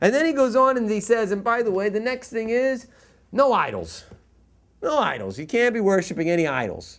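An American-accented man talks at a fairly quick pace in a high pitch, with very wide pitch swings. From US East Coast. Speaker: rabbi teaching Torah class. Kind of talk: lecture.

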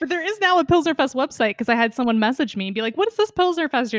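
A woman talks at a very fast pace, her pitch swinging very widely. The sound is dry and close, with no echo. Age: 20s. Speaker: podcast host and beer educator. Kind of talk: casual chat.

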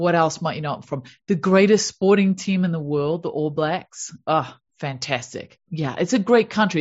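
A woman with a New Zealand accent speaks at a moderate pace in a fairly low, somewhat breathy voice with ordinary pitch variation. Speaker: happiness coach. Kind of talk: interview. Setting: video call.

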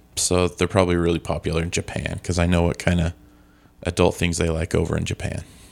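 A man speaks at a very fast pace with a very deep, low pitch. His intonation stays monotone and flat. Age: 40s. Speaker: podcast co-host. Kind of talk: casual chat.

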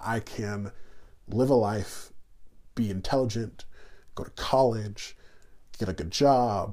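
With long, frequent pauses, an American-accented man speaks very slowly at a medium pitch, his dark, mellow tone held in fairly even intonation. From New York City then Indiana. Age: 30s. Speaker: guest. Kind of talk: casual interview conversation.

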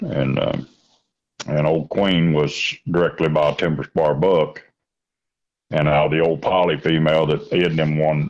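With a Kentucky accent, the voice moves at a moderate pace in monotone, flat intonation and very even loudness, leaving long, frequent pauses. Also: man. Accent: Southern US (Kentucky). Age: 60s. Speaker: coon hunter and grandfather. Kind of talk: casual interview.

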